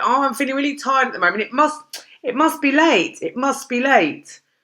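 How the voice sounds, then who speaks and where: A woman's raised, projected voice with a British accent, high in pitch and bright, sharp in tone. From London, England. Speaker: English teacher. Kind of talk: online English grammar lesson. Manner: casual, chatty.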